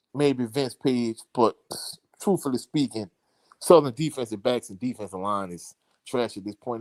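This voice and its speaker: A man speaks at a medium pitch with a strong Louisiana accent. The sound is dry and close with no echo, and the recording is very clean over a silent background. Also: big swings in loudness. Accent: thick Louisiana. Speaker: sports commentator. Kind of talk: live stream chat.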